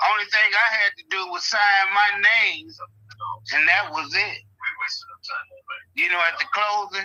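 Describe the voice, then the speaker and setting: A man speaks in a high, raised voice that projects. His pace is fairly slow, with long pauses coming often. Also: ordinary pitch variation. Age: 60s. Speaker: property owner selling to an investor. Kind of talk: phone call with investor. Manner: halting, many fillers.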